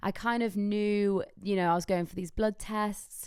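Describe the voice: A woman with a raspy, slightly mellow voice at medium pitch speaks at a fairly slow pace with fairly even intonation, on a very clean recording with a silent background.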